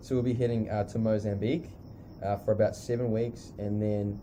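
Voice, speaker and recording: A man's fairly low, dark, mellow voice with a New Zealand accent, monotone and flat in intonation, at a moderate pace. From New Zealand, South Island (near Christchurch). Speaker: missionary school leader. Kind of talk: casual interview. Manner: hesitant, many fillers.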